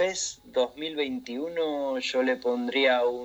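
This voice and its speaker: A man is speaking. His pace is very slow. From Argentina. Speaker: game modding community admin. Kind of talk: casual radio interview.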